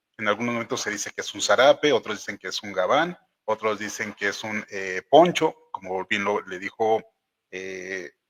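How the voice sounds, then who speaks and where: An unremarkable speaking voice at moderate pace, with ordinary pitch variation, big swings in loudness and a dry, close sound with no echo. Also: man. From Oaxaca, Mexico. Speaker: show host. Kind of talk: casual interview conversation. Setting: live stream.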